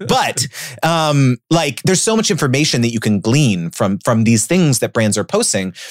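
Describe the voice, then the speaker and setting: A man's animated, medium-pitched voice with very wide pitch swings, very even loudness and a moderate pace, in a dry, close sound with no echo. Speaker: brand deal coach. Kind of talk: interview.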